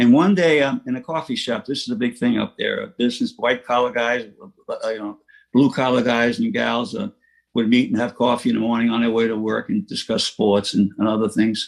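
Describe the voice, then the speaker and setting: Talking at a fairly quick pace, a man speaks in a New York accent. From New York City, Queens (Rockaway Beach). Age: 80s+. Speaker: recovering alcoholic speaker. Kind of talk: recovery talk testimony. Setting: online meeting. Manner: halting with fillers.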